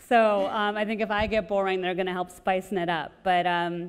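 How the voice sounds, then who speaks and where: A woman talks at a fairly quick pace. Her intonation is monotone and flat. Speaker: panel moderator. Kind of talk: panel introduction. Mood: light, friendly opening. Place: hall. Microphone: lapel.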